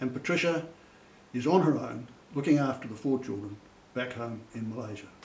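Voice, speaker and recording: A man with a medium-pitched voice speaks with long, frequent pauses and big swings in loudness. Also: ordinary pitch variation, fairly quick pace. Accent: New Zealand. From Christchurch, New Zealand. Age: 70s. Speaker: author and retired army sergeant major. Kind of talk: interview talk about his novels.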